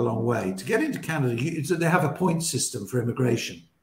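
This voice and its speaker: A man with a British accent talks at a fairly quick pace in a fairly high pitch, his voice swinging very widely up and down against audible room echo. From England. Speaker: radio broadcaster; interview guest. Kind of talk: casual interview chat. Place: home room.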